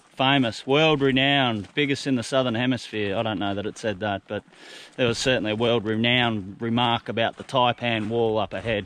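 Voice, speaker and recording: Fairly quick and fairly even in intonation, the speaker talks with an Australian accent. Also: man. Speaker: hiking vlogger. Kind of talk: travel vlog narration. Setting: outdoors. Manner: casual, humorous.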